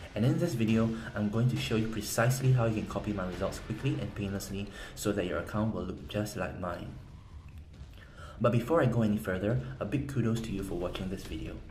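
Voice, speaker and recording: A somewhat breathy man at a fairly low pitch, talking at a very fast pace amid audible room echo. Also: lively intonation. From South Korea. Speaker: game strategy guide seller. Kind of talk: sales pitch.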